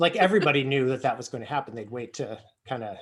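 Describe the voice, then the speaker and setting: A man with an American accent, a medium pitch, and a fairly quick pace. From United States. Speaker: early childhood educator. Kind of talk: casual chat. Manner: fast.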